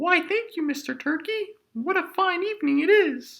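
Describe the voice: A squeaky, cartoonish character voice sits at an extremely high pitch. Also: moderate pace.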